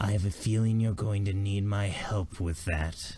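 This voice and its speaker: A man uses a put-on character voice with a menacing tone and a fairly low pitch. His intonation is fairly even and his loudness very even. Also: moderate pace. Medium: actual play. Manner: quiet, menacing.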